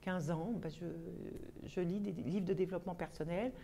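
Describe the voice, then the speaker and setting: A woman with a dark, mellow tone speaks at a medium pitch, her pitch varying in an ordinary way. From Paris, France. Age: 60s. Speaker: vlogger, personal development. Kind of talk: casual self-introduction monologue. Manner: hesitant, with frequent fillers.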